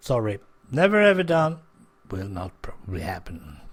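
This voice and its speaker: In a very clean recording with a silent background, a man speaks with very wide pitch swings. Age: 60s. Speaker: podcaster. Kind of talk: casual monologue.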